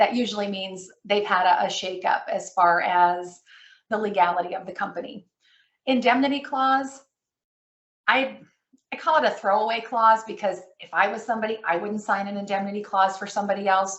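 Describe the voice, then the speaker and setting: A woman with an unremarkable speaking voice and medium pitch talks at a moderate pace, showing ordinary pitch variation and big swings in loudness. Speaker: credit management presenter. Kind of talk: webinar presentation. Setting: online webinar.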